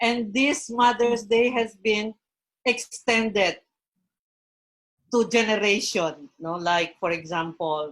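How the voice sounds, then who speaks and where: A very slow woman's voice with a Filipino accent, fairly high in pitch, lively in intonation and broken by long, frequent pauses. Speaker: professional guest on a Mother's Day panel. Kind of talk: online panel interview.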